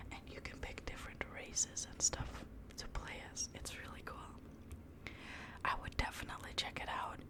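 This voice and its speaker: A woman whispering, with big swings in loudness and long, frequent pauses, over noticeable background noise. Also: moderate pace. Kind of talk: casual chat about video games.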